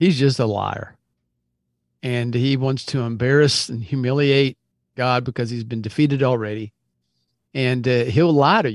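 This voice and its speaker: A man's medium-pitched voice at a moderate pace, with fairly even intonation, long, frequent pauses and a quiet background. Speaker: podcast co-host. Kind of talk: casual podcast chat.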